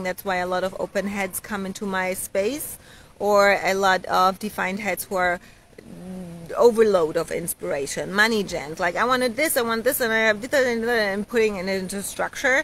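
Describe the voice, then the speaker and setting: This woman has a plain, everyday voice at a medium pitch. She talks at a fairly quick pace with ordinary pitch variation. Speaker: human design coach. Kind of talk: live stream talk.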